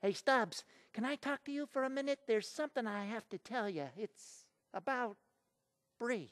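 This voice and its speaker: A female-sounding, cartoonish character voice comes through at a fairly high pitch and a moderate pace. Long, frequent pauses break up the speech against a quiet background. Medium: puppet show.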